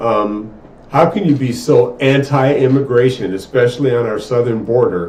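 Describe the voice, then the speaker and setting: Noticeable background noise and audible room echo are present. A man with an American accent speaks at medium pitch and a moderate pace. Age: 60s. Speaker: podcast co-host. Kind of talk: casual chat.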